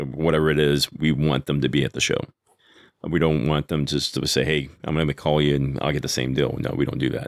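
His voice very deep and low with vocal fry, a man with an American accent speaks at a fairly quick pace. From Texas. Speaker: cigar company sales rep. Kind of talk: casual interview.

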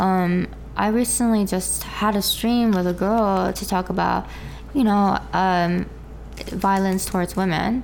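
Over noticeable background noise, a woman speaks at a fairly slow pace with very even loudness. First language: Korean. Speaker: VTuber streamer. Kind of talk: interview. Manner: halting.

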